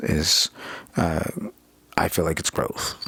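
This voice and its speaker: Noticeable background noise runs under this recording. A man with an American accent speaks at a fairly slow pace. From California. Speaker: vlogger. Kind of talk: personal monologue vlog. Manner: halting, many fillers; loud, aggressive.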